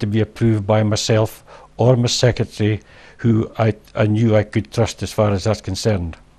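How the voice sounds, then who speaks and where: A fairly low male voice with a Scottish accent, a dark, mellow tone and a moderate pace. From Scotland. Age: old. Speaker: wrongly convicted garage manager; interviewee. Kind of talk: interview testimony. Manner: halting. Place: home room. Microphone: lapel.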